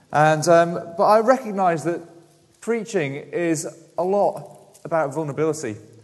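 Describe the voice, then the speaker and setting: Noticeable background noise and audible room echo surround the recording. A man speaks at a moderate pace in a high pitch with lively intonation. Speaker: preacher. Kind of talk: sermon. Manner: mumbling.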